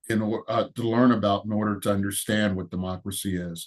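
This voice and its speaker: His intonation fairly even, a man talks with an American accent. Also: quiet background. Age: 70s. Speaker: veteran and retired teacher. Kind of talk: interview testimony. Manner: halting, many fillers.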